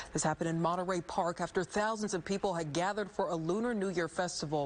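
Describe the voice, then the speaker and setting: Fairly low in pitch, a woman talks at a fairly quick pace in a plain, everyday voice with ordinary pitch variation. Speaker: TV news anchor. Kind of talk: TV news read.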